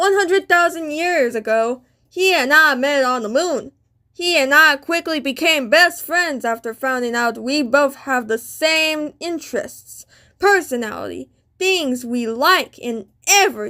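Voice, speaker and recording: A female-sounding voice performs a put-on character voice at a high pitch and a moderate pace. The recording is very clean, with a silent background. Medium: machinima. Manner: bubbly, friendly.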